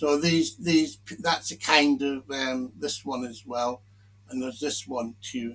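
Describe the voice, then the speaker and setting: Bright and sharp in tone, a man with a British accent talks at a moderate pace and a fairly high pitch. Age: 60s. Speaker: commentary video maker. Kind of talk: casual monologue commentary. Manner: halting.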